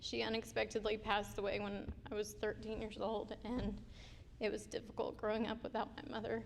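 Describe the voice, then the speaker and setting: A woman speaking at a fairly quick pace, with audible room echo. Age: 30s. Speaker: scholarship recipient, student. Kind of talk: testimony. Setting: stage with audience.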